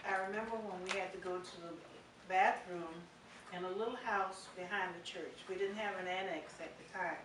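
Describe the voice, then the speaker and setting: In an American accent, a woman with a medium pitch speaks at a moderate pace in a flat monotone, with audible room echo and noticeable background noise. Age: 70s. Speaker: church member. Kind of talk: testimony. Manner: halting.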